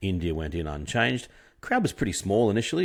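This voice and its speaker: A man's very deep, low voice moves at a fairly quick pace on a very clean recording with a silent background. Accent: Australian. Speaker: cricket podcaster. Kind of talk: solo commentary monologue. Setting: at home at night. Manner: soft-spoken; halting, many fillers.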